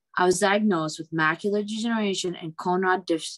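Behind the speaker, the background is quiet. The delivery runs at a fairly quick pace. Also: woman. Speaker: bioengineering professor, speaker. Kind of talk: public talk, conversational lecture. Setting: virtual event video call. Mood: earnest, reflective. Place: home room. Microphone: video call.

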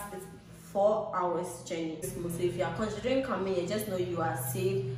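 Light background noise and audible room echo surround a woman talking at a moderate pace. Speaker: travel vlogger. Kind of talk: casual vlog chat. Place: home room. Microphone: phone near.

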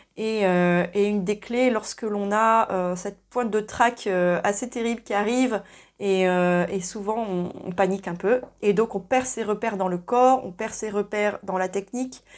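A normal speaking voice at a fairly slow pace, with fairly even intonation over a quiet background. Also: woman. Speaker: singing teacher. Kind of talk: tutorial. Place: home room. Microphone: lapel.

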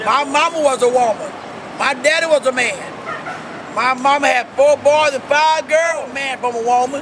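Amid noticeable background noise, a man speaks at a fairly slow pace with an extremely high pitch. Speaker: street preacher. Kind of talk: street preaching sermon. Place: street. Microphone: phone near.

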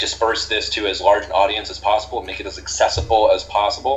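A man talks at a fairly quick pace. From US Northeast. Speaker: history PhD candidate. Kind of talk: casual chat.

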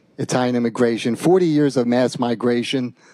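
The voice has a dark, mellow tone with ordinary pitch variation. The sound is dry with no echo, over a quiet background. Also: man. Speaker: guest lecturer. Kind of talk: lecture. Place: hall.

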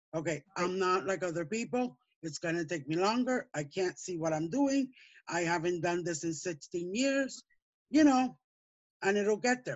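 Against a quiet background, a woman talks at a moderate pace. Her pitch swings very widely. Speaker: hobby stitcher. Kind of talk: casual chat. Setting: video call. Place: home room. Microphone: video call.

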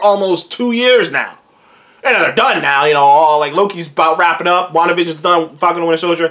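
This man's talking runs at a fairly quick pace. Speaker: show host. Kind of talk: casual vlog commentary. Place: home room. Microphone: webcam.

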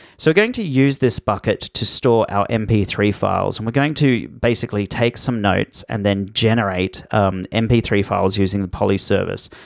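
A man with a fairly low pitch speaks with hardly any pauses, in a dry, close sound with no echo on a very clean recording with a silent background. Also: ordinary pitch variation, moderate pace. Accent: Australian. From Australia. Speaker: online course instructor. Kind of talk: tutorial.

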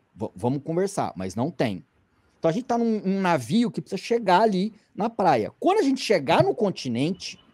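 The talking moves at a moderate pace against a quiet background. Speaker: climbing magazine editor; podcast guest. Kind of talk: casual commentary. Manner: conversational, with many fillers. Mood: earnest, persuasive. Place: home room. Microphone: video call.

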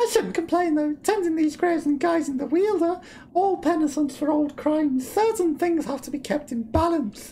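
The speaker uses a high-pitched put-on character voice at a moderate pace, with clear background noise. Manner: calm, mystical.

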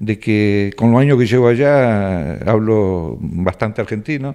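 A man's voice with very wide pitch swings, set against a quiet background. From Argentina, Rafaela (Santa Fe); Santa Fe, Argentina. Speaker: cook, emigrant. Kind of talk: interview. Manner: hesitant, many fillers. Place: home room. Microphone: handheld.

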